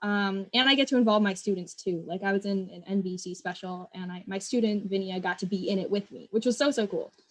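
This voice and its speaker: A somewhat breathy woman's voice at a medium pitch with ordinary pitch variation, very fast with hardly any pauses, its loudness swinging widely. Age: 20s. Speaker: educator and nonprofit founder. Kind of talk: interview. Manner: casual, enthusiastic.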